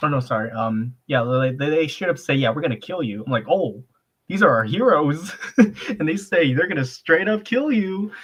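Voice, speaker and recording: Somewhat breathy, this man's voice is fairly high in pitch and swings very widely up and down. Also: moderate pace. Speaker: reviewer and guest on art stream. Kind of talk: casual chat. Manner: animated.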